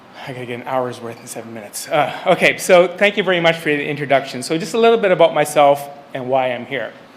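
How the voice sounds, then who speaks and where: Lively intonation drives a very fast pace. Noticeable background noise runs underneath. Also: man. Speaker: senior civil servant. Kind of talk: conference speech.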